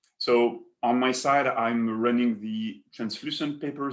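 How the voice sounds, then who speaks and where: A man talks with a French accent. His pitch is medium. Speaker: paper industry executive. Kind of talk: webinar presentation.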